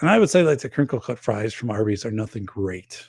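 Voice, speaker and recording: On a very clean recording with a silent background, a man talks with an Upper Midwest US accent. He sounds somewhat breathy, with a fairly low pitch and lively intonation. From northern Wisconsin. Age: 50s. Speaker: podcast host and safety expert. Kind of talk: casual livestream chat reading viewer comments.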